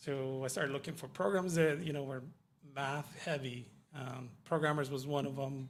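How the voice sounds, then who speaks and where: With audible room echo, a man speaks in a Spanish accent at a moderate pace, his fairly high voice keeping a fairly even intonation. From Mexico, Yucatan. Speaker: IT professional, former kitchen worker. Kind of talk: radio interview. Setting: radio studio.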